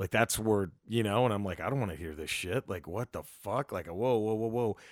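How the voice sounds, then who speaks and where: In a very clean recording with a silent background and a dry, close sound with no echo, a man with a plain, everyday voice and fairly low pitch talks at a moderate pace with ordinary pitch variation. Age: 40s. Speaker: stand-up comedian. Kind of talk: casual chat. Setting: at guest's home.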